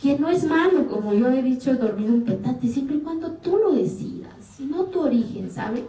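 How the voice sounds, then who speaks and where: This woman's high voice, moderately paced with hardly any pauses, carries lively intonation and an animated tone over noticeable background noise and audible room echo. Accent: Oaxacan. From Mexico, Oaxaca Sierra Sur, Zapotec community. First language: Zapotec (speaking Spanish). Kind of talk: interview.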